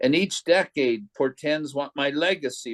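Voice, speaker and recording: This man has a normal speaking voice and lively intonation, delivered at a fairly slow pace. The sound is dry and close, with no echo. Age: 60s. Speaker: poet, poetry group host. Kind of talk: poetry reading.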